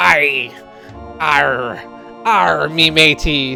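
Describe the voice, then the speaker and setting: A put-on character voice at a low-to-middle pitch plays over clear music in the background. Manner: playful.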